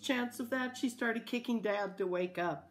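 In a natural reading voice, the pitch shows ordinary variation.

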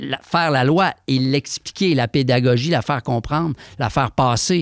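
Over a quiet background, a man talks at a moderate pace with ordinary pitch variation and a dry sound with no echo. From Quebec. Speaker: rapper and author; guest. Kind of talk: interview. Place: studio. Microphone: studio mic.

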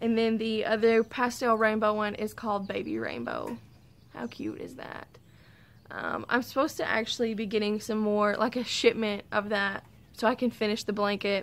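A woman with a Southern US accent speaks at a moderate pace in a fairly high pitch with monotone, flat intonation. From US South, Arkansas. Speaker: podcast host. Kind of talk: casual chat. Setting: outdoors. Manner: rambling, frequent laughs. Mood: relaxed, cheerful. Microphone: phone near.

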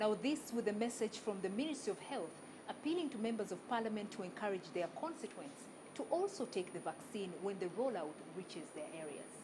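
Very wide pitch swings at a fairly quick pace over noticeable background noise. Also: woman, fairly high pitch for a woman. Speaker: news presenter. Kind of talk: news reading.

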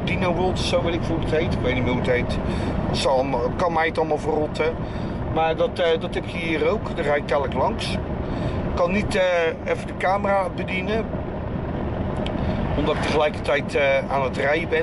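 Through loud background noise, a man talks at a moderate pace with ordinary pitch variation. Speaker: vlogger driving. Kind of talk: casual vlog chat. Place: car. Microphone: phone near.

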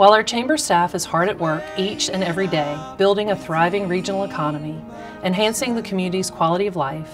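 Over music in the background, a woman talks at a very fast pace, her pitch fairly low with ordinary variation. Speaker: chamber of commerce president and CEO. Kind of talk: parody charity appeal commercial read. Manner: earnest, pleading.

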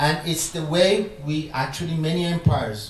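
There is audible room echo and light background noise as a man talks. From Iran. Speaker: philosopher and professor; professor. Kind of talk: public conversation with audience Q&A. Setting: lecture room with audience. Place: hall.

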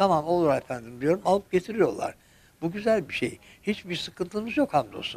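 With very wide pitch swings, a man speaks at a high pitch and a moderate pace. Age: 70s. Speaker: retiree; interviewee. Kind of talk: interview. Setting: at home. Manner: polite; halting. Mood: cheerful, polite, content. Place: home room. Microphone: handheld.

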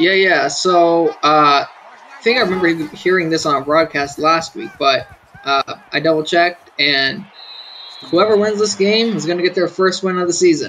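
Sounding excited, a man with a high pitch speaks at a moderate pace with long, frequent pauses, and there is noticeable background noise. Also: ordinary pitch variation. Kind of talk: sports commentary. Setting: live stream. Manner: excited, urgent, peppered with laughs and ad-libbed calls.

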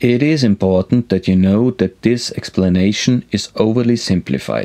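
Over a quiet background, a man speaks fairly slowly in a dark, mellow tone, his pitch fairly low with ordinary variation. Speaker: sailing instructor. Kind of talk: tutorial. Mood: friendly, lightly humorous. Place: studio.

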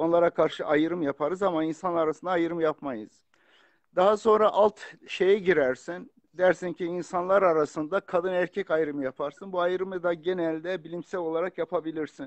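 Recorded with a dry, close sound and no echo over a quiet background, a man speaks at a moderate pace in a high voice with fairly even intonation. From Turkey, Kurdish family from Bitlis. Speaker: author and religious scholar. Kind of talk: casual chat. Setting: video call. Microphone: phone.

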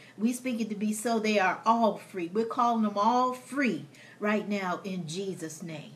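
The woman's pitch sits fairly high, with ordinary variation. She talks at a moderate pace. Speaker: co-host and prayer leader. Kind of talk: fervent prayer. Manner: emphatic, rhythmic, repeated declarations. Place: home room. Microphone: phone near.

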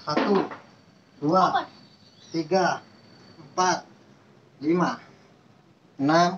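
Very slowly, a man speaks at a high pitch. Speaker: home fitness instructor. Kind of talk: tutorial. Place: garden. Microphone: camera far.

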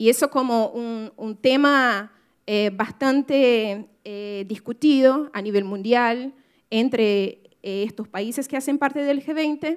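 A woman's high voice in a Brazilian accent, very slow, with ordinary pitch variation, big swings in loudness and a quiet background. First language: Portuguese (speaking Spanish). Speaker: writer and activist; speaker. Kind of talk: talk to an audience. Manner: halting, many fillers. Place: hall. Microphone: podium.

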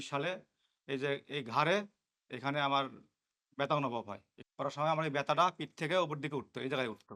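On a very clean recording with a silent background, a man speaks with a fairly high pitch. His tone is bright and sharp, and his intonation fairly even. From Bangladesh, Bogura district. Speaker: patient. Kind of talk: testimony.

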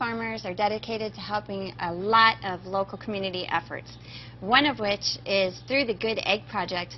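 There is light background noise as a woman speaks with an American accent. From US Southwest. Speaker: egg farmer. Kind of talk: live educational Q&A.

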